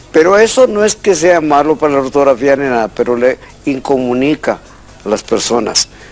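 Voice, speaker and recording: Over music in the background, a man with a fairly high voice talks at a moderate pace with lively intonation. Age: 60s. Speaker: language expert. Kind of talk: call-in radio-TV show.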